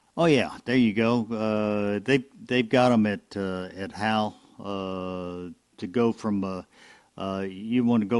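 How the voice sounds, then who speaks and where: A man with a Southern US accent speaks at a very slow pace in a fairly low pitch with fairly even intonation. The recording is very clean, with a silent background. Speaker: ham radio net control. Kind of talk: amateur radio net. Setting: radio broadcast. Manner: halting, many fillers.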